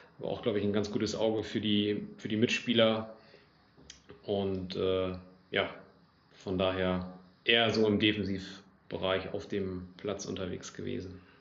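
Audible room echo surrounds a man who speaks at a fairly slow pace in a fairly low, monotone, flat voice, with long, frequent pauses. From northwest Germany, Lower Saxony (Oldenburg area). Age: 20s. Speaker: amateur football club official. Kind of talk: casual interview.

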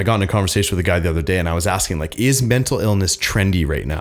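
This is a plain, everyday voice. The pitch varies in an ordinary way. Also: man. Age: 30s. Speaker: mental health nonprofit founder. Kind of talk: casual chat. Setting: studio.

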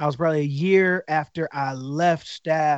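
A man with an American accent talks in a plain, everyday voice at a fairly high pitch, with ordinary pitch variation. The sound is dry and close with no echo, over a quiet background. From Detroit, Michigan. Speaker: worship pastor. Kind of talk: casual interview.

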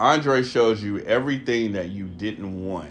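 There is music in the background and audible room echo. A man with an American accent speaks in a fairly low pitch with lively intonation. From Texas. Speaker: podcast host. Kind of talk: casual chat. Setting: recording with friends on a trip.

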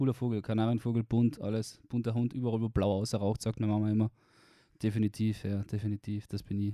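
A man with a Carinthian accent speaks very fast in a fairly low, dark and mellow voice, his intonation monotone and flat, on a very clean recording with a silent background and a dry, close sound with no echo. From Austria, Carinthia. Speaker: university student. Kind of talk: casual chat.

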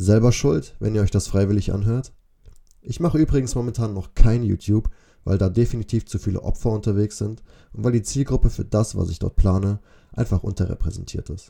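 A man speaks at a fairly quick pace in a fairly low pitch. His tone is dark and mellow, somewhat breathy, with ordinary pitch variation. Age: 20s. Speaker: podcaster, student. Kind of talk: podcast intro monologue. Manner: casual.

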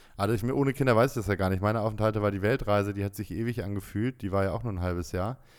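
On a very clean recording with a silent background, a man talks at a very fast pace with hardly any pauses, his fairly low pitch showing ordinary variation. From Bremen, northern Germany. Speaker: podcast co-host, expat father. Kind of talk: casual chat.

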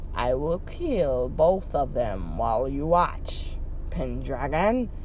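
A growling put-on character voice at a very slow pace, with clear background noise. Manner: snarling, menacing.

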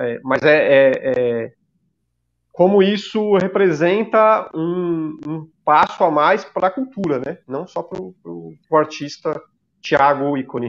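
A man with a São Paulo accent, fairly high in pitch, at a very slow pace, with lively intonation and big swings in loudness. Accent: Paulistano Brazilian Portuguese. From São Paulo, Zona Leste. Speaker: podcast co-host, graffiti artist. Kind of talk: casual chat.

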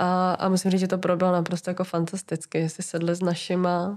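A woman's fairly low voice holds a monotone, flat intonation throughout. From Czechia, near Brno (South Moravia). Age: 20s. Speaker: podcast guest, listener. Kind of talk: casual interview chat.

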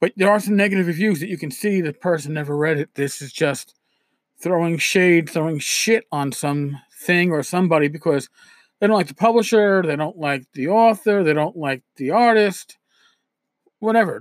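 A man with a New York accent and a high pitch, ordinary pitch variation at a moderate pace, on a very clean recording with a silent background and a dry, close sound with no echo. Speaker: podcast host, tabletop RPG blogger. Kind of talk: solo podcast monologue. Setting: home recording with USB microphone. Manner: casual, conversational with filler words.

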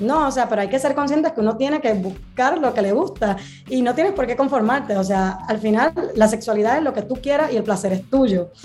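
Noticeable background noise sits behind a woman with a fairly high pitch. Her tone is animated and her intonation lively. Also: fairly quick pace, very even loudness. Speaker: sex educator. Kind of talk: casual chat.

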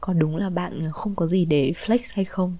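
Somewhat breathy and dark, mellow in tone, a woman talks at a fairly slow pace and medium pitch. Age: 20s. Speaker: podcaster. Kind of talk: personal storytelling monologue.

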